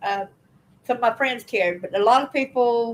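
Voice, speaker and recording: Her pitch is fairly high, and this woman varies it in an ordinary way. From Alabama. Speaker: channel host and abuse survivor. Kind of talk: livestream personal testimony. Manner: casual, chatty.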